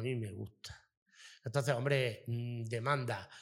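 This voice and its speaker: A man in a normal speaking voice, medium pitch, fairly slow pace. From Almería province, Spain. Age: 40s. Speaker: restaurant owner. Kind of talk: interview. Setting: in his restaurant.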